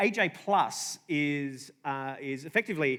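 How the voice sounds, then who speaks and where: In a very clean recording with a silent background, a man with an Australian accent talks at a fairly high pitch with ordinary pitch variation. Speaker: comedian and journalist. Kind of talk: conference talk. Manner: halting.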